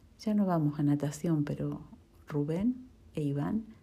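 A woman with a very deep, low pitch and a dark, mellow, somewhat breathy tone speaks at a fairly slow pace with lively intonation. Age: 40s. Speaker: office employee and mother. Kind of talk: reading aloud. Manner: formal.

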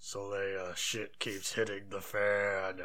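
Using a put-on character voice, a man talks at a very slow pace. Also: fairly low pitch for a man. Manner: put-on, playful.

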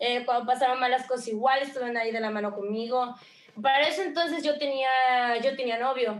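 Speaking at a fairly quick pace, a woman uses a high voice with fairly even intonation. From Mexico, Veracruz. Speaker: streamer and content creator. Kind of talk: interview.

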